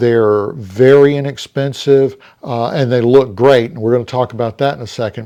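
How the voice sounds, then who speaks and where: A man's dark, mellow tone at medium pitch, with fairly even intonation and a moderate pace. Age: 60s. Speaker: watch reviewer, channel owner. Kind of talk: product review video. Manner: halting, many fillers.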